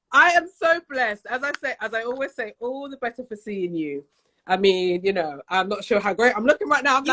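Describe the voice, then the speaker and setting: Fairly quick, bright and sharp woman's voice, fairly high in pitch with very wide pitch swings, in a dry, close sound with no echo. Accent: British. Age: 40s. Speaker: guest on online show.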